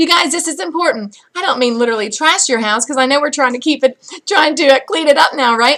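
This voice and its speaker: A woman talks at a fairly quick pace in a raised, projected voice with lively intonation. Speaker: sales director for a cosmetics direct-sales team. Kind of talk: motivational video message to team. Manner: fast; animated.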